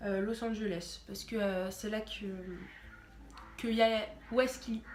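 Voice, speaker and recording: A fairly slow voice with fairly even intonation, big swings in loudness, audible room echo, and noticeable background noise. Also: woman, fairly high pitch for a woman. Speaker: YouTuber. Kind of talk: casual vlog.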